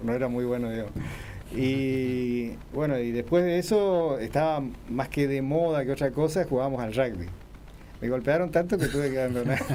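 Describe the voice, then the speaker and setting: Ordinary pitch variation and a moderate pace, with audible room echo. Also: man, medium pitch for a man. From Argentina, Corrientes. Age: 60s. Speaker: oncological surgeon and professor. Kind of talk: radio interview.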